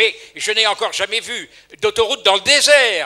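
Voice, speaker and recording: Speaking at a fairly slow pace, a man has an extremely high-pitched voice. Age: 80s+. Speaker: audience member at public debate. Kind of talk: public meeting question. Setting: public hall with audience. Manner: halting.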